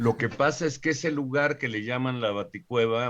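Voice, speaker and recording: A man keeps to a moderate pace and ordinary pitch variation, and the background is quiet. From Mexico City area (born in Puebla, raised partly there). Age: 60s. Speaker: scientist and professor. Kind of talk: interview. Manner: halting, many fillers and repetitions.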